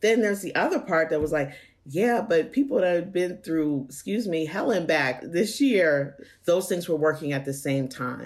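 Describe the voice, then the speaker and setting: A woman speaks in an ordinary speaking voice, her pitch fairly low. Her intonation is lively and her pace moderate. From Pennsylvania. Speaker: nonprofit executive director. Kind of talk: interview.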